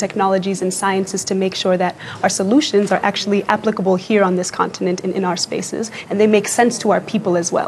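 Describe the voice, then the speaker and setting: A woman's medium-pitched voice, monotone and flat, at a very fast pace over noticeable background noise. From Kenya. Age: 20s. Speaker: youth activist. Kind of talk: TV interview.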